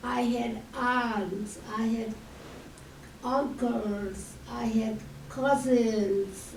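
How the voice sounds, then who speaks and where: At a very slow pace, a woman talks with a fairly high pitch and fairly even intonation, amid noticeable background noise and audible room echo. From Hungary. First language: Hungarian. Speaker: Holocaust survivor speaker. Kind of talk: testimony.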